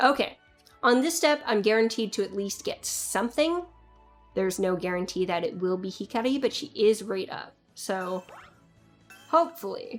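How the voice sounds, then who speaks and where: With music in the background, a woman speaks at a moderate pace in a fairly high pitch, her very wide pitch swings broken up by long, frequent pauses. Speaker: gacha game video creator. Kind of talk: casual gameplay commentary. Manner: rambling.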